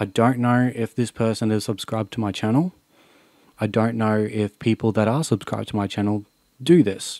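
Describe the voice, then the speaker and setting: A man with medium pitch and a dark, mellow tone speaks at a moderate pace with ordinary pitch variation. The sound is dry with no echo, over a quiet background. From Australia. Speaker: YouTuber. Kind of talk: vlog monologue. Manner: unscripted, earnest. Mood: serious, emotional, frustrated. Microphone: studio mic.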